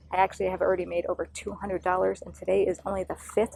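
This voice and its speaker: Soft-spoken, a woman talks at a very fast pace. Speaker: investing vlogger. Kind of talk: casual finance vlog. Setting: outdoors. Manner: quiet. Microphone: poor audio outdoors.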